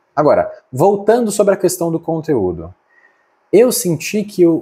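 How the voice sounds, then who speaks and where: On a very clean recording with a silent background, a man's somewhat breathy voice, dark and mellow in tone, moves through very wide pitch swings. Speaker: vlogger. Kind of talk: casual vlog monologue to camera. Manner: fast, few pauses.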